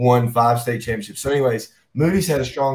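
With an American accent, the speaker goes at a fairly quick pace with ordinary pitch variation over light background noise. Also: man. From US South. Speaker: high school football coach. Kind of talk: interview. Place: office.

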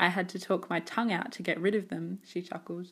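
In an ordinary speaking voice, a woman talks at a fairly quick pace and medium pitch. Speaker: documentary narrator. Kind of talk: corporate documentary narration.

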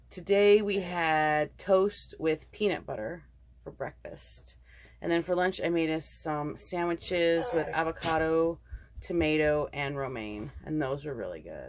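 A woman at a fairly slow pace over noticeable background noise. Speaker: vlogger. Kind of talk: casual vlog chat. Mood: relaxed, chatty. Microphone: phone near.

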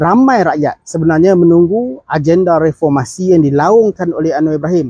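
A man's high voice, dark and mellow in tone, at a moderate pace with ordinary pitch variation, the sound dry with no echo and the background quiet. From Malaysia. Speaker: political commentator. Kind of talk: political commentary monologue. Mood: earnest, critical. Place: open country. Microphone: phone near.

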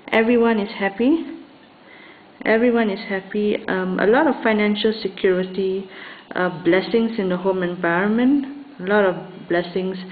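The pitch varies in an ordinary way against noticeable background noise. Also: woman, medium pitch for a woman, moderate pace. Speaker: tarot reader. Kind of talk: tarot reading to camera. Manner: hesitant, many fillers.

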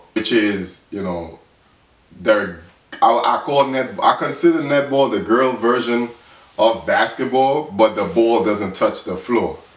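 A man talks with ordinary pitch variation, and audible room echo can be heard. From Dominica. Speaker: sports YouTuber. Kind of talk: casual vlog monologue. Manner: halting with fillers. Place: home room. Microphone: phone near.

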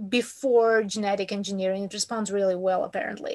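A woman speaks in a monotone with flat intonation, at a moderate pace. The background is quiet. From Ukraine. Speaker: workshop attendee. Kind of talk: Q&A question. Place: home room. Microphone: video call.

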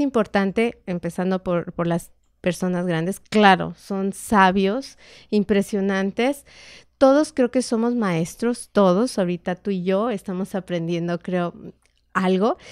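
A woman with a Mexican accent, fairly slow pace, ordinary pitch variation, and a dry sound with no echo against a quiet background. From Mexico. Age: 50s. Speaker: meditation therapist, former homemaker; podcast guest. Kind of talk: casual interview chat. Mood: calm, reflective. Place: studio. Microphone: studio mic.

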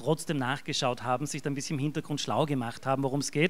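This is a man speaking. He has an Austrian accent. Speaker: event host, volunteer treasurer of hospice association; event moderator. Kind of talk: event moderation. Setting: stage with audience. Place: hall.

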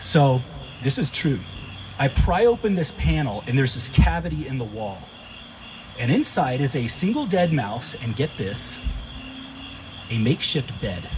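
A man's voice with long, frequent pauses and noticeable background noise. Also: moderate pace. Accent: American. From US Texas. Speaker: stand-up comedian. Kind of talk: stand-up comedy. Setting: stage with audience. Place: garden. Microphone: handheld.

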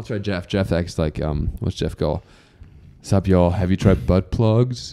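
Speaking at a fairly slow pace with a German accent, a man uses a very deep, low pitch and a dark, mellow tone with ordinary pitch variation. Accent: German accent, people ask where he is from. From Germany. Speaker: podcast host; podcast guest. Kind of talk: casual chat. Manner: animated. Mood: joking, playful. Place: studio. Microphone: handheld.

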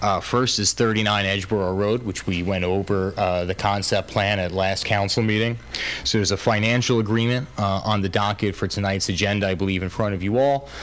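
A man with an unremarkable speaking voice, fairly low pitch, fairly even intonation and a fairly quick pace. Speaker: council presenter. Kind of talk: public meeting briefing. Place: hall. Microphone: podium.

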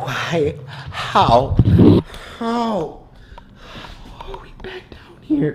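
A man's high-pitched voice at a very slow pace, with noticeable background noise. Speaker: gaming vlogger. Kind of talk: casual vlog chat.

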